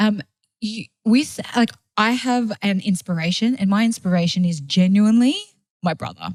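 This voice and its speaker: Somewhat breathy, a woman talks at a moderate pace at a medium pitch, with ordinary pitch variation. The sound is dry and close, with no echo. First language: not English. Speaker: food blogger and marketing agency owner. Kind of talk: casual chat. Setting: studio. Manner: animated.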